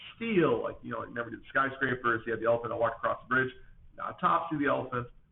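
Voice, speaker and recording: A man at a very fast pace over noticeable background noise. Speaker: schoolteacher. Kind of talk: recorded class lesson. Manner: animated.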